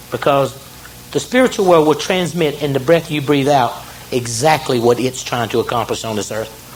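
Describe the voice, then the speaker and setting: A fairly high-pitched man with an American accent at a moderate pace, ordinary pitch variation, and noticeable background noise. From US South, South Carolina. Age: 50s. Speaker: near-death experience speaker. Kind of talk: motivational talk. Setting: stage with audience. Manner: animated.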